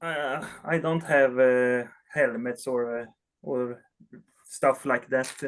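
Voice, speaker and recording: A man talks with a Swedish accent. His intonation stays fairly even. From Sweden. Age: 30s. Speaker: collector. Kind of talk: interview. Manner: halting.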